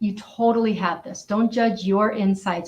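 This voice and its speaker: A woman talks at a moderate pace and a medium pitch. Her voice is somewhat breathy. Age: 60s. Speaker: author. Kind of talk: interview.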